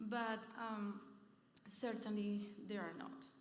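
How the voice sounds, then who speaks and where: A fairly high-pitched woman with a Venezuelan accent, with audible room echo. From Venezuela, south. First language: Spanish. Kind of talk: panel talk at church event. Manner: halting, many fillers.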